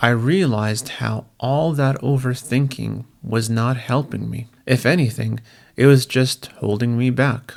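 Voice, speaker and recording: Speaking at a very slow pace, a man keeps his medium-pitched voice fairly even in intonation. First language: Assyrian. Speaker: language learner vlogger. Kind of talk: personal monologue.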